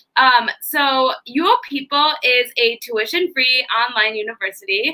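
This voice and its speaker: A high-pitched woman's voice with lively intonation in a strong Chicago accent. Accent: thick Chicago. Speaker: university staff host of live event. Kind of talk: live interview / presentation. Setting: live online video stream.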